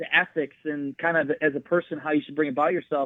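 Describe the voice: Recorded dry and close with no echo, a man with an American accent speaks at a moderate pace and a fairly high pitch.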